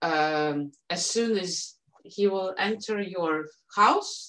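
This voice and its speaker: A woman speaks with a Russian accent. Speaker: dog owner and Shiba Inu breeder. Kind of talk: podcast interview. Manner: halting, many fillers.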